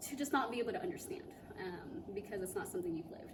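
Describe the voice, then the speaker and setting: Lively intonation with audible room echo. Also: woman. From immigrant, raised in Cameron, Missouri. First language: not English. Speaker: community theatre actor. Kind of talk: interview. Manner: hesitant, many fillers.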